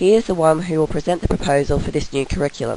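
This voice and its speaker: Very fast and with ordinary pitch variation, a woman speaks in a very deep, low pitch with an Australian accent. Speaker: university student. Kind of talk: recorded class presentation.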